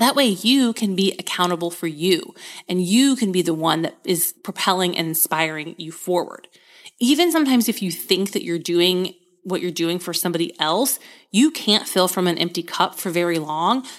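In a very clean recording with a silent background, a woman with an American accent and an ordinary speaking voice talks at a moderate pace and medium pitch, with ordinary pitch variation. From US Midwest. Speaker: podcast host and marketing coach. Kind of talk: casual solo podcast talk.

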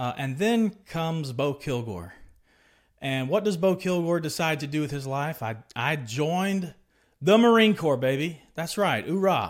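An ordinary speaking voice from a man, fairly high in pitch, with lively intonation at a fairly slow pace, on a very clean recording with a silent background. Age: 30s. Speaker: podcast host, former Marine sharing faith testimony. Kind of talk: personal testimony monologue. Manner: conversational with frequent filler words.

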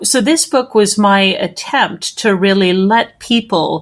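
A woman's ordinary speaking voice with a Canadian accent, medium in pitch, at a fairly slow pace. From Canada, Edmonton. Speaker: theologian and postdoctoral researcher. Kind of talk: interview.

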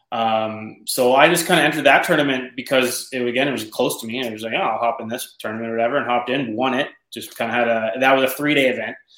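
This man speaks with an Ontario accent at a medium pitch. His pace is very fast and his intonation fairly even. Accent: Canadian (Ontario). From Canada, Ontario (north of Toronto). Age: 30s. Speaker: professional bass angler. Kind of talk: casual interview chat.

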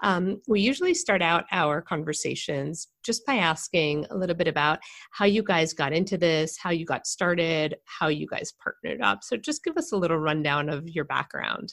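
A woman with an ordinary speaking voice talks with hardly any pauses. Her pitch is fairly low, with ordinary pitch variation. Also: moderate pace. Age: 40s. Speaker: podcast co-host, pelvic floor specialist. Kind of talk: casual interview chat.

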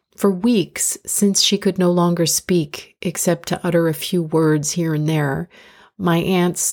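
A woman speaks in a plain, everyday voice, fairly low in pitch, at a fairly slow pace with fairly even intonation. The recording is very clean, with a silent background. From United States. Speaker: inspirational speaker and podcast host. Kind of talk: reflective spoken essay. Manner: calm, measured.

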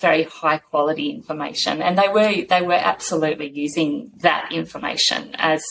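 A woman with an Australian accent speaks at a fairly quick pace with lively intonation, her very deep, low voice carrying vocal fry. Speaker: science organisation CEO, former journalist. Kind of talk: interview.

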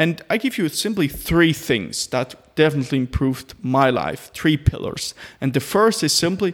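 A man in a normal speaking voice talks at a moderate pace, his fairly high pitch carrying lively intonation. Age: 20s. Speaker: ADHD coach and podcaster. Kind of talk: solo podcast monologue.

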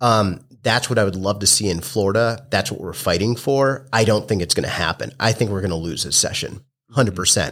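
A man with an American accent talks in an ordinary speaking voice, fairly low in pitch with ordinary pitch variation and hardly any pauses, on a very clean recording with a silent background. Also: fairly quick pace. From Massachusetts. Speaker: hemp business owner, Marine veteran. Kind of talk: interview. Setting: studio.

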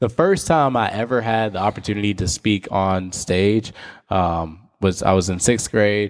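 A man with an American accent talks at a fairly slow pace in a plain, everyday voice, his pitch fairly low with ordinary variation. The recording is very clean, with a silent background. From US South. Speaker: pastor, podcast co-host. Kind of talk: casual faith discussion.

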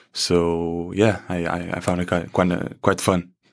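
A man with a Portuguese accent speaks in a very deep, low voice on a very clean recording with a silent background. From Portugal. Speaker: student athlete, soccer player. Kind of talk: casual interview. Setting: studio.

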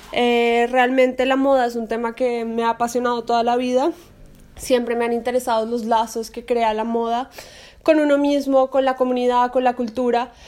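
A woman with a high pitch speaks at a moderate pace in a monotone, flat intonation. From Colombia. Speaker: podcast co-host, fashion creative consultant. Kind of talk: casual chat.

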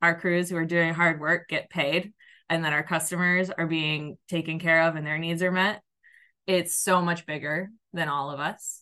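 A woman speaks at a moderate pace in a fairly low voice with a bright, sharp tone and flat, monotone intonation against a quiet background. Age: 30s. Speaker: landscaping account manager. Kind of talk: interview.

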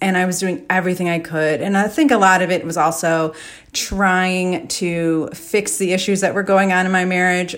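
A woman's plain, everyday voice at medium pitch with ordinary pitch variation, in a very clean recording with a silent background. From US Midwest, Chicago area. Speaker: declutter coach, podcast host. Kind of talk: solo monologue podcast. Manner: casual, with frequent fillers.

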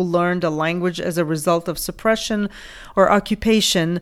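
On a very clean recording with a silent background, a woman talks at a moderate pace with ordinary pitch variation. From Lithuania. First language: Lithuanian. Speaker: podcast host and ESL teacher. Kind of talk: solo educational podcast talk.

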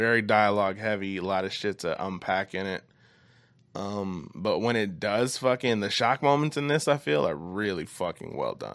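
A normal speaking voice with ordinary pitch variation and a moderate pace, very clean recording, silent background. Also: man, fairly low pitch for a man. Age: 20s. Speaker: podcast host. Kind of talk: casual chat.

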